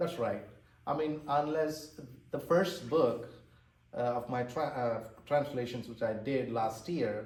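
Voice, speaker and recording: A man's somewhat breathy voice in an Indian accent, medium in pitch with ordinary pitch variation, very slow with long, frequent pauses and audible room echo. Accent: Indian English (Tamil). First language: Tamil. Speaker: author and translator. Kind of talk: interview. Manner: halting.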